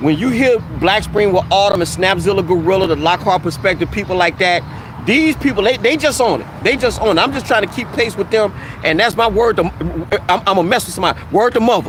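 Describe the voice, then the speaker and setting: A high-pitched man with an American accent, lively intonation and a very fast pace, amid noticeable background noise. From US South, Mississippi. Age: 50s. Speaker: YouTuber. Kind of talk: live stream chat. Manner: casual, informal.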